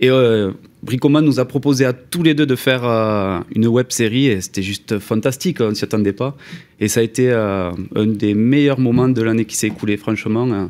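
The pace here is moderate. The pitch varies in an ordinary way. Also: man. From southwest France (Toulouse). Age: 30s. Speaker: former mason turned video maker. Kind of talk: casual chat. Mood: enthusiastic, fond recollection. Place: studio. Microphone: studio mic.

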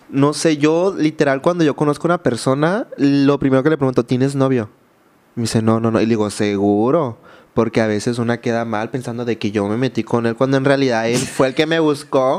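Speaking at a fairly quick pace, a man uses medium pitch with ordinary pitch variation. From Mexico, Baja California Sur (San José del Cabo); Baja California Sur, Mexico. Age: 20s. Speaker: social media content creator. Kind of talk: personal testimony in interview. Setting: studio. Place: studio. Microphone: studio mic.

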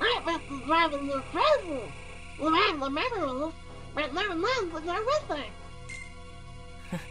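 A put-on character voice speaks with long, frequent pauses. Loud music plays in the background. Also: moderate pace. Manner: excitable, impatient.

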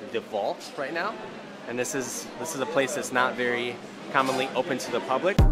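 Music plays in the background as a man talks at a fairly quick pace. His pitch variation is ordinary. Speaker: vlogger. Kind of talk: casual vlog chat. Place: hall. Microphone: phone near.

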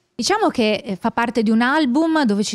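The background stays quiet. A woman talks at a fairly quick pace. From Veneto, Italy. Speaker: radio host. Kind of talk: interview. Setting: radio booth at a music festival. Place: studio. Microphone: handheld.

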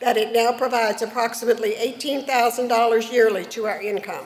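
A woman talks in a high pitch with fairly even intonation. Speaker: presenter. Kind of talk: formal reading of award citations. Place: hall. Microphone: podium.

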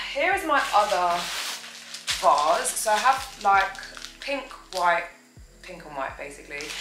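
A woman speaks fairly slowly with very wide swings in pitch and big shifts in loudness. Music plays behind her. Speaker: home vlogger. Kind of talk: casual vlog chat. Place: home room. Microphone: camera far.

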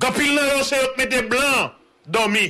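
A man with a Haitian accent speaks in a raised, projected voice with an animated tone at an extremely high pitch. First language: Haitian Creole (speaking French). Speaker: news show host. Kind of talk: political rant. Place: home room. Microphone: studio mic.

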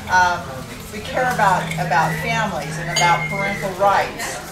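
Loud background noise runs behind a woman speaking. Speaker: guest. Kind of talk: talk to a meeting. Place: hall. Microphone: camera far.

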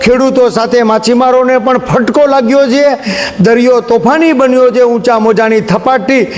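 An extremely high male voice, very even in loudness and fairly even in intonation, over noticeable background noise. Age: 50s. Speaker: local news reporter. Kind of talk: on-location news report.

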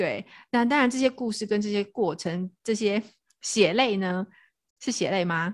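Speaking at a medium pitch, a woman goes at a fairly slow pace with ordinary pitch variation and long, frequent pauses. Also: very clean recording, silent background. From Taiwan, Tainan (Anping). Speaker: podcast host. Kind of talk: casual chat.

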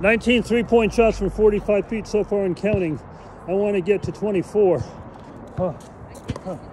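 A man with a high pitch and an American accent, at a moderate pace with long, frequent pauses, amid noticeable background noise. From US West Coast, San Francisco. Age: 60s. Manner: animated.

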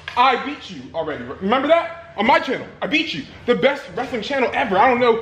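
With faint background noise behind him, a man speaks fast at an extremely high pitch, his tone fairly bright and his pitch swinging widely.

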